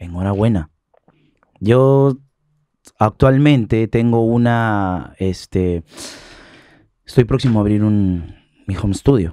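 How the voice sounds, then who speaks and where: A man's fairly low, dark, mellow voice with ordinary pitch variation, a very slow pace and long, frequent pauses, in a dry sound with no echo. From Peru. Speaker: singer; guest. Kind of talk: interview. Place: studio. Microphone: studio mic.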